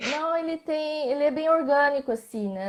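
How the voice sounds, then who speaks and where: A woman at a moderate pace with ordinary pitch variation, in a very clean recording with a silent background. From Brazil, Mato Grosso. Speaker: visual artist. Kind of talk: interview in a live video stream. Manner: halting, many false starts.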